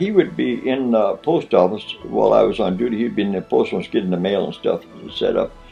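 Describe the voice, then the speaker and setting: Music plays in the background. A man with an American accent talks at a moderate pace. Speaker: Korean War army veteran. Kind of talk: interview answer.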